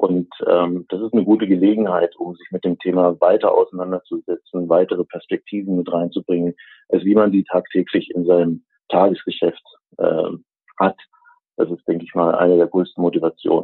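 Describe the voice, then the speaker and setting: A man talks at a moderate pace. His loudness swings widely from moment to moment. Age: 50s. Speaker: association chairman. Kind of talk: interview. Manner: hesitant, many fillers.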